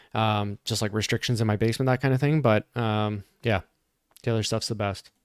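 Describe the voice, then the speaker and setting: In a normal speaking voice with a Canadian accent, a man speaks at a moderate pace and very even loudness, in a dry, close sound with no echo on a very clean recording with a silent background. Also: medium pitch for a man, fairly even intonation. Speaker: fitness commentator. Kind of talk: live commentary. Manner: casual, conversational.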